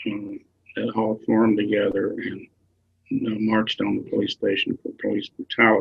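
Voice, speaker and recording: With a Southern US accent, a man talks at a moderate speed. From rural Tennessee. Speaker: activist and author. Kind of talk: interview answer.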